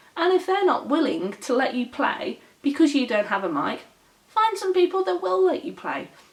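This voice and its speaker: A woman with a British accent speaks at a high pitch and a moderate pace. Her tone is animated, with very wide pitch swings. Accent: British accent, noted as nice by others. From Britain. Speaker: gaming vlogger. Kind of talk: casual vlog monologue. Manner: animated ranting.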